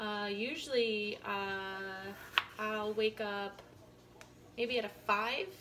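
A woman speaks with monotone, flat intonation. Noticeable background noise runs underneath. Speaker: vlogger. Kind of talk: casual vlog chat. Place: kitchen. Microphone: phone near.

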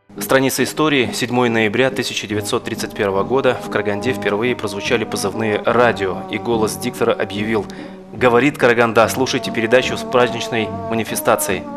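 A man at a fairly quick pace, with ordinary pitch variation and clear music in the background. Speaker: interviewer / host. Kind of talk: interview questions and historical narration. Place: studio.

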